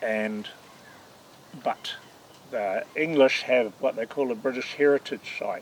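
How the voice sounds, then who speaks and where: A man speaks at a fairly slow pace in a New Zealand accent. Long, frequent pauses break up his speech. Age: 60s. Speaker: classic car collector. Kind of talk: casual interview.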